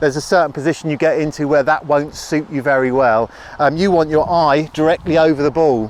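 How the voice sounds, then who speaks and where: A man with a fairly high pitch speaks at a fairly quick pace, his pitch varying in an ordinary way over noticeable background noise. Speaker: golf teaching professional. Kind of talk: tutorial. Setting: outdoors on a golf course. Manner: louder than normal; fast.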